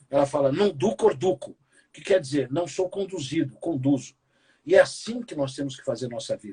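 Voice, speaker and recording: At a moderate pace, a man talks at a fairly high pitch with lively intonation. His tone is dark and mellow, and somewhat breathy. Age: 60s. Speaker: keynote speaker and business professor. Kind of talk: interview conversation. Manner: animated.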